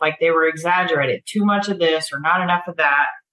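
With a bright, sharp tone, a woman talks at a medium pitch. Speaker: recovery group participant. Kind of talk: casual group discussion.

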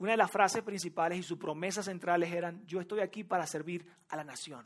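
This is a man speaking. His pace is fairly quick. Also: very clean recording, silent background. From Venezuela. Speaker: pastor. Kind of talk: sermon. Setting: church with audience. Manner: nervous, warm.

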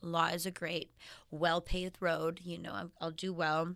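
Speaking with a Canadian accent, a woman uses a bright, sharp tone at a fairly low pitch, with monotone, flat intonation, vocal fry and a fairly slow pace. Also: very clean recording, silent background. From Canadian prairies, Saskatchewan. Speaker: fashion designer. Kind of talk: interview.

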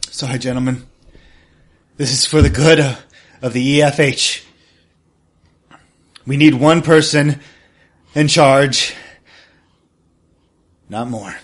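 A man puts on a character voice with a fairly high pitch. He speaks at a fairly slow pace with long, frequent pauses. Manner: defiant, bitter, menacing.

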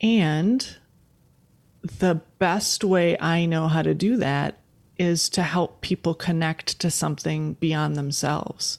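A woman with an American accent speaks at a very slow pace. Her loudness is very even, and her pitch varies in an ordinary way. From US Midwest, Wisconsin. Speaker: futurist and consultant. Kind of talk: interview conversation.

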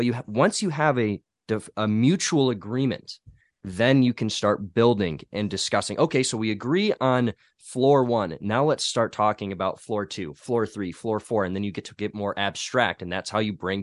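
Recorded dry and close with no echo over a quiet background, a man speaks in a normal speaking voice at a medium pitch with ordinary pitch variation. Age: 20s. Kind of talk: casual chat.

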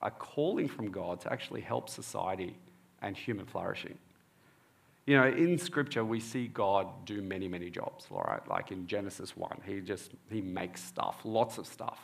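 Here is a man with an Australian accent. His pitch is fairly low. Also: ordinary pitch variation, moderate pace. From Australia (born in Egypt, moved at four). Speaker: preacher and dentist. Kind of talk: sermon.

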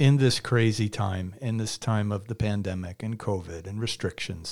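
With an American accent, the speaker uses a plain, everyday voice and ordinary pitch variation on a very clean recording over a silent background. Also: man. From Massachusetts (Quincy). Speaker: podcast host. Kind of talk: interview. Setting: studio.

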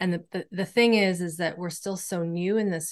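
Delivered at a moderate pace over a quiet background, a plain, everyday voice keeps fairly even intonation. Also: woman. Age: 40s. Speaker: nervous system educator and somatic practitioner. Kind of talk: interview conversation.

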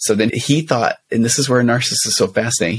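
This man has an unremarkable speaking voice, medium in pitch with ordinary pitch variation, moving at a fairly quick pace. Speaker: therapist and co-host. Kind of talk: casual banter true crime discussion. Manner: joking, playful.

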